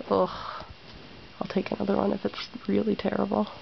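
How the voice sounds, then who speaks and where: Noticeable background noise is audible. A woman is talking over it. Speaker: knitting video maker. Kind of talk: tutorial. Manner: casual, hesitant with fillers; slow.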